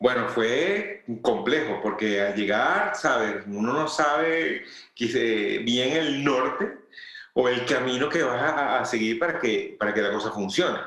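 A man of medium pitch speaks at a fairly slow pace with lively intonation. There is audible room echo. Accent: Venezuelan. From Venezuela, Valencia. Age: 40s. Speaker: food and product photographer. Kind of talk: interview.

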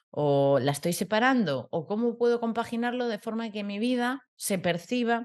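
Lively in intonation, a woman with a plain, everyday voice and a fairly high pitch speaks at a moderate pace with hardly any pauses. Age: 30s. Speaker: podcast co-host. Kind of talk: casual chat.

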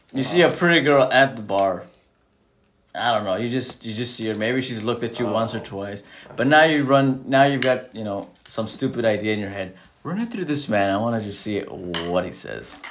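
A man's medium-pitched voice at a fairly quick pace, with ordinary pitch variation, big swings in loudness and audible room echo. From Mexican heritage. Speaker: podcast co-host. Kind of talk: casual chat.

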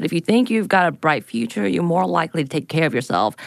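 A woman speaks at a fairly low pitch with vocal fry. The background is quiet. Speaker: podcast host. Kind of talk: reading research notes.

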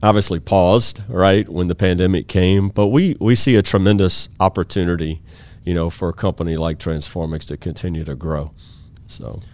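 With a Louisiana accent, a man speaks at a moderate pace in a very deep, low pitch with ordinary pitch variation. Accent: Louisiana Southern American. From US South, Baton Rouge, Louisiana. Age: 50s. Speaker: IT company CEO. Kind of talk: interview conversation.

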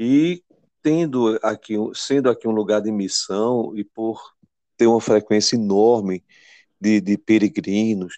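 A man with a fairly low pitch and a dark, mellow tone speaks at a very slow pace. His pitch varies in an ordinary way, in a dry, close sound with no echo. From Pernambuco, Brazil (Belo Jardim). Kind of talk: interview.

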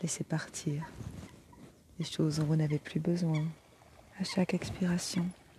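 A woman's fairly low, gentle, warm voice, fairly slow and fairly even in intonation, with long, frequent pauses. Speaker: energy healer and meditation guide. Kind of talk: guided meditation. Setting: outdoors by the water in nature. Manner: slow, soothing, calm; gentle, warm, unhurried with long pauses.

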